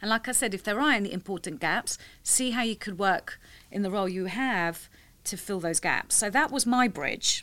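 On a very clean recording with a silent background, a woman with a London accent has a bright, sharp tone. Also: medium pitch for a woman, ordinary pitch variation, moderate pace. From London, England. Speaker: tech industry professional. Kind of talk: interview.

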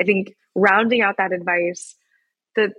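A woman speaks at a medium pitch with a Midwestern American accent. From US Midwest, Wichita, Kansas. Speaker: founder of a youth education platform. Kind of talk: interview.

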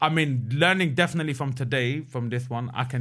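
A man talks at a very fast pace. His pitch sits in the medium range, with ordinary variation. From England, Pakistani heritage. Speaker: spoken word poet. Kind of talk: casual chat.

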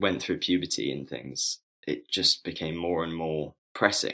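A man with a London accent speaks in a very deep voice with a bright, sharp tone. He keeps a moderate pace, and the recording is very clean with a silent background. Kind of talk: casual interview. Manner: halting, many fillers.

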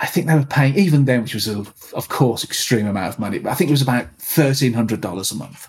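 A man with a Birmingham accent, medium-pitched, talking at a very fast pace with lively intonation. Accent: Birmingham (Brummie) English. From Birmingham, England. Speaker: techno producer and DJ. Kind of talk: casual interview.

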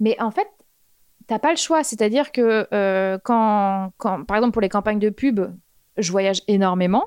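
A woman speaks fairly slowly at a fairly high pitch, with ordinary pitch variation and long, frequent pauses. Her loudness stays very even, and the sound is dry and close with no echo. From Normandy, France. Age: 30s. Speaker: fashion stylist. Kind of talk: casual chat.

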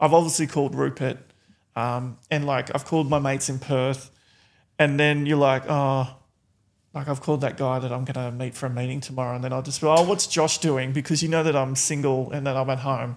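Speaking in an Australian accent, a man talks at a fairly quick pace and medium pitch with monotone, flat intonation. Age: 40s. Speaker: reality TV contestant. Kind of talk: casual chat.

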